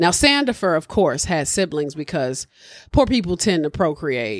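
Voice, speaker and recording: A woman speaking in an animated tone. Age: 30s. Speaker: podcast host. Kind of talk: casual chat.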